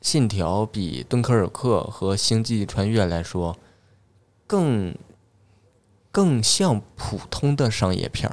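On a very clean recording with a silent background, a man speaks with a slight Northeastern Chinese accent at a fairly low pitch. His pace is very slow, with long, frequent pauses and lively intonation. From Northeast China. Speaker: stand-up comedian. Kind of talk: casual chat.

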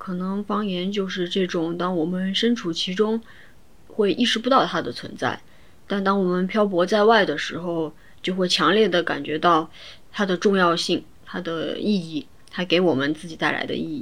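A woman at medium pitch and moderate pace, an ordinary speaking voice with ordinary pitch variation. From Chongqing, China. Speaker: podcast co-host. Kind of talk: casual chat.

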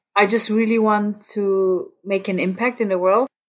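A woman speaks at a moderate pace in an Austrian accent. Her pitch is medium, and her intonation is monotone and flat. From Austria, Innsbruck (Tyrol), parents from India. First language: German. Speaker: student and podcast guest. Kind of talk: casual interview chat.

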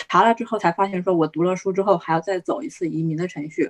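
In a dry, close recording with no echo, a woman with an unremarkable speaking voice at medium pitch talks at a fairly quick pace with ordinary pitch variation. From China. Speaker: skilled-worker immigrant. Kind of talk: panel discussion. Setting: video call.

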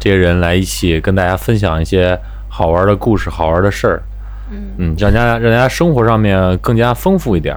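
A man's voice at a fairly quick pace with very even loudness, over noticeable background noise. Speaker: podcast host. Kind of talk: casual chat. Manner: swallows syllables.

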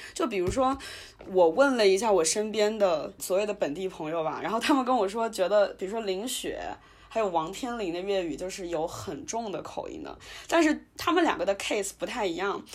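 A woman speaks in a normal speaking voice at a fairly quick pace with lively intonation. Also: medium pitch for a woman. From Wuhan, China. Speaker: podcast host. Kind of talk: casual chat.

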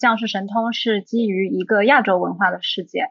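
This woman has an unremarkable speaking voice with a fairly high pitch. She talks at a moderate pace. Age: young. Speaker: film director and producer. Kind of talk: casual chat.

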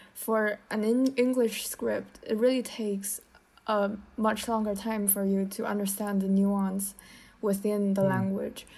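Speaking fairly slowly with a Chinese accent, a woman has a dark, mellow tone at medium pitch and monotone, flat intonation. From China. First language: Mandarin Chinese. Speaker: podcast co-host, student. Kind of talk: casual chat.

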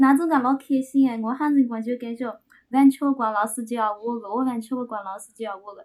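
A woman's high voice at a fairly quick pace, with fairly even intonation and big swings in loudness. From Shangyu, Shaoxing, Zhejiang. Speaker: podcast guest. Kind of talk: casual chat.

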